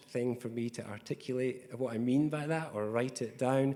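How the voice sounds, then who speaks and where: This man has a Scottish accent. He talks at a moderate pace with fairly even intonation. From Scotland. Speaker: tech company executive. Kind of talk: panel discussion. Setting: conference panel in a hotel.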